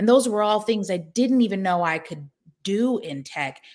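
A woman with an American accent has an ordinary speaking voice, fairly high in pitch, with lively intonation. The recording is very clean, with a silent background. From US Pacific Northwest, Seattle. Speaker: tech startup founder. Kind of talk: interview.

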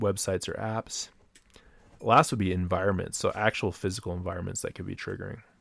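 A man with an ordinary speaking voice and a General American accent, moderate pace, fairly even intonation, on a very clean recording with a silent background. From US, Colorado (Denver). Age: 30s. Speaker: podcast host. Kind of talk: solo monologue podcast. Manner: casual, conversational.

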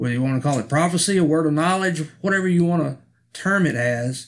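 A man's plain, everyday voice with an American accent, fairly high in pitch with ordinary variation, at a fairly quick pace on a very clean recording with a silent background. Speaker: pastor. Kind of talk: spoken commentary.

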